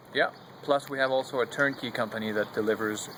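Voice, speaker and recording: With fairly even intonation, this man moves at a fairly quick pace while noticeable background noise runs underneath. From Quebec. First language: French. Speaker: solar heating company representative. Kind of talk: product presentation.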